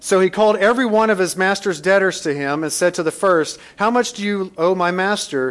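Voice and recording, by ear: Ordinary rises and falls in pitch, read aloud in a natural voice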